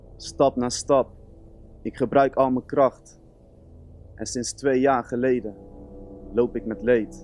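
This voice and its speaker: The speech is very slow with long, frequent pauses and fairly even intonation, dry with no echo, while faint music plays in the background. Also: man, medium pitch for a man. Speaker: music student. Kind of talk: spoken word performance. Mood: earnest, emotional. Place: stage. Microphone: studio mic.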